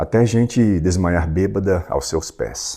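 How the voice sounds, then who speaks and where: Very deep and low, a man's voice with a dark, mellow tone and vocal fry moves at a very slow pace. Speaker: audiobook narrator. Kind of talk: reading aloud; casual chat.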